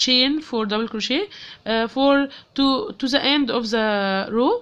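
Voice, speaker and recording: A woman speaks with an Arabic accent at a fairly high pitch. Her pitch variation is ordinary, and the background is quiet. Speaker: crochet teacher. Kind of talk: tutorial. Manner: halting, many fillers.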